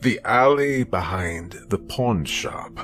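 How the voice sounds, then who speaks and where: A man uses a put-on character voice at medium pitch, speaking at a very slow pace. Clear music plays in the background. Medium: read story. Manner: calm, unhurried, controlled.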